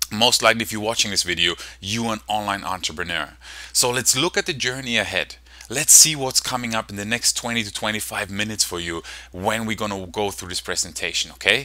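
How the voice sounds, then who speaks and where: A man's fairly low-pitched voice with a German accent at a fairly quick pace. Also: ordinary pitch variation. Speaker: online marketing coach. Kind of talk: sales presentation. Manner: fast; animated.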